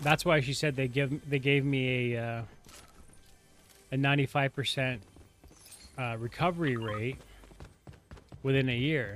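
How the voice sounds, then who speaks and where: Moderate pace from a man at medium pitch, with fairly even intonation and long, frequent pauses. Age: 40s. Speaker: gaming streamer. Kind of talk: casual chat. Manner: halting.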